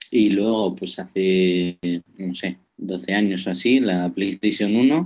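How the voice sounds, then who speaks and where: Very slow speech with ordinary pitch variation. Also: man. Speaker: podcast newcomer, gamer. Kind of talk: casual chat. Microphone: poor connection, sounds strange.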